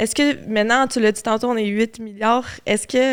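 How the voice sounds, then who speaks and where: This speaker talks with a Quebec accent. The recording is very clean, with a silent background. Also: woman. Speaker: podcast host. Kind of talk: casual chat.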